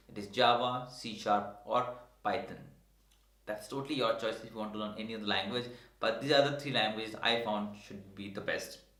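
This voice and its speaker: A man talks at a fairly quick pace in a medium pitch. Audible room echo surrounds his voice. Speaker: tech educator YouTuber. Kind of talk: tutorial. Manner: fast.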